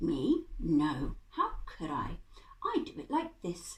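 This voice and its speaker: A woman uses a put-on character voice. She speaks at a very slow pace. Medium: read story.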